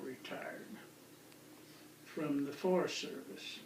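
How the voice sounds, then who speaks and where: A man with an American accent speaks at a fairly slow pace with lively intonation, with audible room echo and noticeable background noise. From northwest Colorado, US. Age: 70s. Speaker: retired forest service equipment manager. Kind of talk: oral history interview. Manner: relaxed, conversational.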